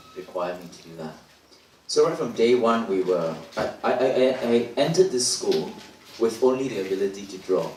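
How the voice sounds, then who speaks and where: A man talks at a fairly quick pace amid noticeable background noise, with audible room echo. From Singapore. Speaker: dancer. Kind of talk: panel talk. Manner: halting, many repetitions.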